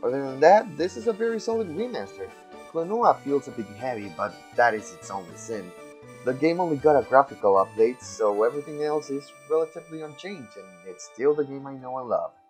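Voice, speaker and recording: Over music in the background, a man talks at a fairly quick pace with a fairly high pitch. His pitch swings very widely and his loudness shifts a lot. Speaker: video game reviewer. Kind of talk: casual game review talk. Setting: home recording, poor audio.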